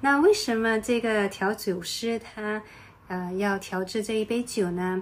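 A woman with an unremarkable speaking voice speaks at a fairly high pitch. Her pace is fairly slow and her intonation fairly even. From Singapore. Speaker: podcast host. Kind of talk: travel podcast narration.

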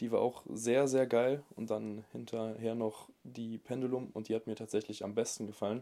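A man's medium-pitched, dark, mellow voice at a moderate pace, monotone and flat, on a very clean recording with a silent background. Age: 20s. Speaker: online fitness coach. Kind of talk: casual chat.

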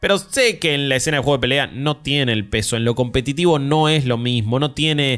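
Music plays behind a man with a fairly high pitch and ordinary pitch variation. He talks at a fairly quick pace with very even loudness and hardly any pauses. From Argentina. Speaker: podcast host. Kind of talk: casual chat.

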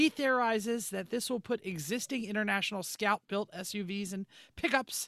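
A man projects a raised voice with a high pitch and a bright, sharp tone at a moderate pace. The very clean recording has a silent background and a dry, close sound with no echo. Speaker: podcast host. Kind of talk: casual chat.

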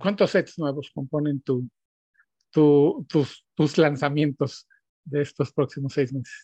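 Somewhat breathy and dark, mellow in tone, the voice moves at a very slow pace with fairly even intonation, in a dry, close sound with no echo and a quiet background. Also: man, fairly high pitch for a man. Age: 50s. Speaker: podcast host, digital strategy director. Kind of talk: interview.

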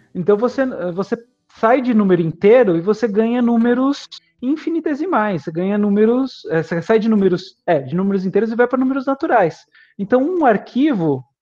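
A man's voice sits high in pitch, with lively intonation. He moves at a fairly quick pace. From Greater São Paulo (ABC region), raised in Itatiba from teens. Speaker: architecture professor. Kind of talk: interview.

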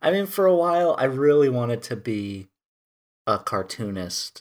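An ordinary speaking voice with lively intonation moves at a moderate pace over a very clean recording and a silent background. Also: man. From US Midwest (rural Wisconsin). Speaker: podcast host. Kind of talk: casual chat.

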